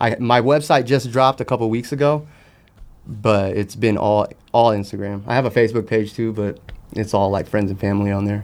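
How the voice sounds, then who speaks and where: An unremarkable speaking voice comes from a man at medium pitch. He talks at a fairly quick pace with fairly even intonation. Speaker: sneaker customizer guest. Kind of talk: casual chat.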